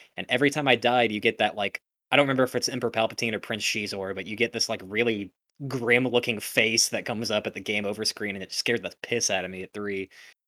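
The man talks at a very fast pace. His medium pitch holds a fairly even intonation. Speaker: musician and picture framer, video game guest. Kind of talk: casual chat.

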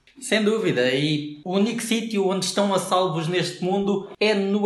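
Recorded with noticeable background noise and audible room echo, a man with a high pitch for a man talks at a moderate pace with ordinary pitch variation. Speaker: podcast co-host. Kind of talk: comedic scripted banter.

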